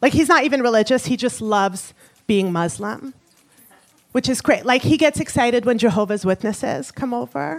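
Vocal fry rasps under the words. The pitch rises and falls in a lively way. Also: woman, fairly high pitch for a woman, moderate pace. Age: 30s. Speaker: comedian. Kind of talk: stand-up. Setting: stage with audience.

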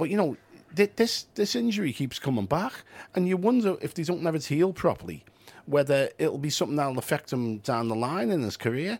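A man speaks with a Liverpool accent. His pitch swings very widely. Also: fairly high pitch for a man, fairly quick pace. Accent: Scouse. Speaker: football writer. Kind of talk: casual chat. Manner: halting.

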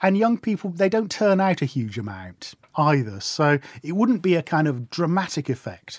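At a moderate pace, a man with a high voice makes very wide pitch swings, recorded dry and close with no echo. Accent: British. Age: 40s. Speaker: political journalist and author. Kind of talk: casual chat.

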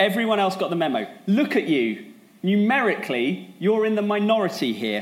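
A man with a southern English accent, high pitch, very wide pitch swings and a fairly quick pace. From Sussex, England.

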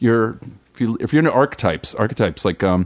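In an ordinary speaking voice with an American accent, a man talks at a medium pitch with lively intonation, the sound dry and close with no echo against a quiet background. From New Jersey. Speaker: musician and entrepreneur. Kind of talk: casual interview.

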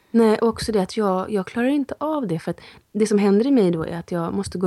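With a dark, mellow tone and a dry, close sound with no echo, a woman talks very fast at a medium pitch. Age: 40s. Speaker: actress and podcast co-host. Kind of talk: casual chat.

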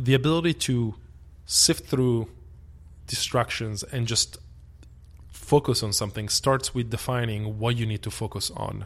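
A man with a slight Italian accent speaks at a moderate pace and a medium pitch, somewhat breathy. His pitch varies in an ordinary way, broken by long, frequent pauses. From Italy. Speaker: sports company founder. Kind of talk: interview.

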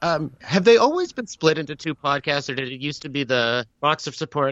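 At a fairly quick pace, a man talks with a slight Boston accent and ordinary pitch variation. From Boston, US. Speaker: guest podcaster. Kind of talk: casual chat. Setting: remote call without video.

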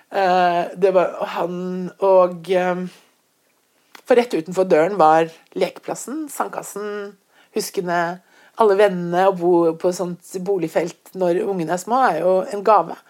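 This woman talks at a fairly slow pace with medium pitch and fairly even intonation, leaving long, frequent pauses. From Bergen, western Norway. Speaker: visual artist. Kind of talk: casual interview chat. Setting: in her kitchen at home.

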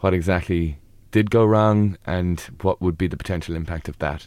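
A man with an Irish accent, very deep and low in pitch, at a moderate pace with fairly even intonation. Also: very clean recording, silent background. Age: 40s. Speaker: psychologist. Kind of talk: advice interview.

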